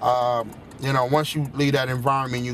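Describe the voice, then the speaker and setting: The speaker has an American accent and a monotone, flat intonation. Room echo is audible, along with noticeable background noise. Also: man. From Chicago. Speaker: spoken word poet. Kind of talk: interview. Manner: halting, many fillers and repeats.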